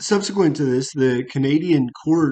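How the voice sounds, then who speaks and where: A man's dark, mellow voice with an American accent, ordinary pitch variation and a fairly slow pace. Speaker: HR channel host. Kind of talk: casual commentary on a news story. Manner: halting, many fillers and restarts.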